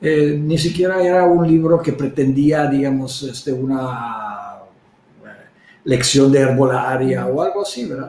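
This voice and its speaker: There is audible room echo around a somewhat breathy, dark and mellow voice with a non-native accent, moving at a fairly slow pace with ordinary pitch variation. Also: man, fairly high pitch for a man. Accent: foreign accent in Spanish. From Czech Republic. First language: Czech (speaking Spanish). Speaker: herbalist. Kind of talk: interview. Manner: halting, many fillers.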